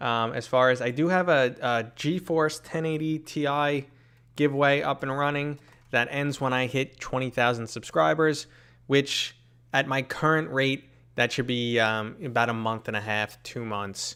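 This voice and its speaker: In an American accent, a man with a bright, sharp tone and ordinary pitch variation talks at a fairly slow pace over a very clean recording with a silent background. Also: medium pitch for a man. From New York City. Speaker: VR gaming streamer. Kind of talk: live stream Q&A chat. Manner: casual, chatty.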